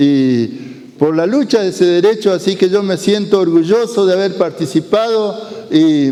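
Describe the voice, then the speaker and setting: There is noticeable background noise as a man with a high pitch speaks at a fairly slow pace with lively intonation. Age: 70s. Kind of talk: talk to school students. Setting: school. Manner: halting, with fillers.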